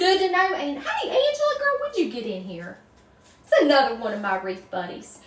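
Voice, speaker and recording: With a strong Southern US accent, a woman talks at a fairly quick pace amid audible room echo and noticeable background noise. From North Carolina, US South. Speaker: wreath maker, crafts livestreamer. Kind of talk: casual livestream chat while crafting, answering viewer comments. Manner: chatty, folksy.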